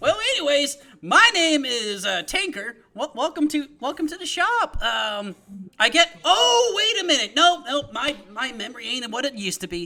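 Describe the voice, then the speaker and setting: A put-on character voice, high in pitch and raised and projected, moves at a moderate pace with very wide pitch swings. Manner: forgetful, chatty, welcoming.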